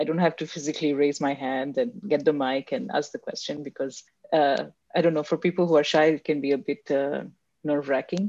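Over a quiet background, a woman speaks at a fairly quick pace in a very deep, low pitch. Her tone is dark and mellow, with ordinary pitch variation. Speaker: podcast host interviewer. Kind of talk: interview conversation. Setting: video call.

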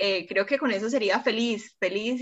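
This woman has an ordinary speaking voice, fairly high in pitch, with fairly even intonation. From Cúcuta, Colombia. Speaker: bacteriologist and youth service club district representative. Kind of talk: interview.

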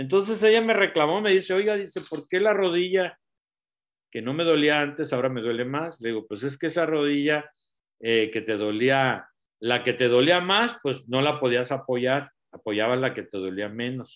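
A man speaks with a fairly high pitch. His pace is moderate, and his pitch swings very widely. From Latin America. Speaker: doctor and nutrition product promoter. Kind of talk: live stream talk.

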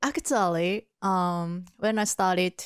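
The speaker has a Japanese accent and ordinary pitch variation, in a dry, close sound with no echo. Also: woman, very clean recording, silent background. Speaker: podcast host. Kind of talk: casual chat.

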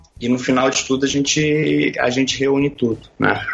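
A man talks at a moderate pace and a medium pitch. His intonation is monotone and flat. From Brazil, Brasília. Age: 30s. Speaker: sports photographer. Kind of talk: casual interview chat.

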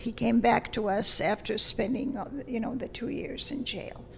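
A woman with a Lithuanian accent speaks at a fairly high pitch and a fairly slow pace, with fairly even intonation. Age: 80s+. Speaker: retired language teacher. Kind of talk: interview. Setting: studio.

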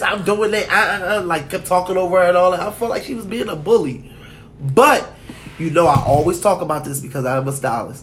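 A man with a high voice talks at a moderate pace with lively intonation. Noticeable background noise and audible room echo surround him. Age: 30s. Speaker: podcast co-host. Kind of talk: casual chat.

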